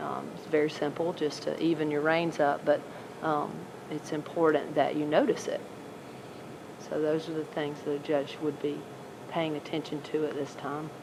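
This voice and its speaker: A soft-spoken woman with a very deep, low pitch, monotone, flat intonation, a moderate pace and long, frequent pauses, over noticeable background noise. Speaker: horse show judge giving feedback. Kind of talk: live coaching commentary during a mock show. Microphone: no microphone, recorded by video camera.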